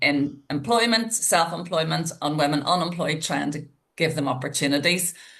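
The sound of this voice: A woman talks at a moderate pace with few pauses. Her pitch is low, and her tone is fairly bright.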